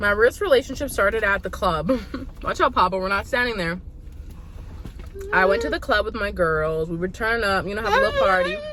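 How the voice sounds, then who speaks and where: A woman at a medium pitch talks at a very fast pace with long, frequent pauses and ordinary pitch variation over noticeable background noise. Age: 30s. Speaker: vlogger. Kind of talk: casual storytelling while eating.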